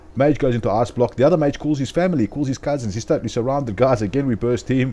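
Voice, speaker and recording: With a South African accent, a man talks very fast at a medium pitch, his tone dark and mellow and his pitch varying in an ordinary way. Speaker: gaming video commentator. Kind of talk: gameplay voiceover commentary. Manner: casual, filler-heavy.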